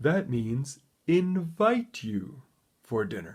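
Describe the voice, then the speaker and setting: A man's put-on character voice, fairly high-pitched and very slow, with very wide pitch swings. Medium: read story.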